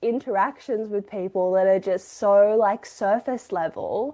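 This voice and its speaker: In an Australian accent, a woman talks at a fairly slow pace with hardly any pauses, her fairly high pitch showing ordinary variation against a quiet background. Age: 20s. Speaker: podcast co-host. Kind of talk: casual chat.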